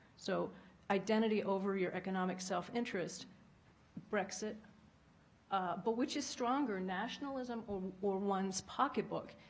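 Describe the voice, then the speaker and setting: Soft-spoken and somewhat breathy, a woman with an American accent and a medium pitch talks at a moderate pace with long, frequent pauses. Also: ordinary pitch variation. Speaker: former diplomat. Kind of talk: panel talk.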